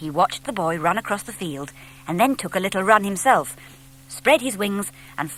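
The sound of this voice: The speaker reads in an unforced reading voice.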